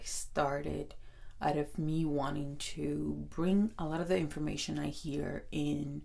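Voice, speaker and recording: This is a woman speaking with a Spanish accent. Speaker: podcast host. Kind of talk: self-help podcast talk.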